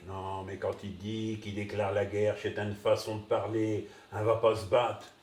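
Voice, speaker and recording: With a northern French accent, a man speaks in a fairly low, monotone, flat voice with big swings in loudness over noticeable background noise. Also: moderate pace. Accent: northern French Ch'ti. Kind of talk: comic sketch dialogue.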